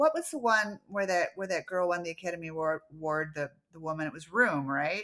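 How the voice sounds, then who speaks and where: A woman with an American accent at a medium pitch, a fairly quick pace with hardly any pauses, and big swings in loudness. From US Midwest, Chicago suburbs. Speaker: author. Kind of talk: casual chat. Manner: halting, many repetitions.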